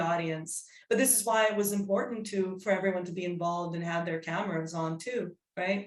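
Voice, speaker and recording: Audible room echo surrounds a woman talking at a fairly quick pace with ordinary pitch variation. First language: Serbian and English (bilingual). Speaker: psychodrama workshop leader. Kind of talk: workshop discussion. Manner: halting.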